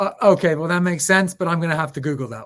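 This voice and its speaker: The speaker is a man. His voice is high-pitched. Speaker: podcast host, payments company president. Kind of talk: interview.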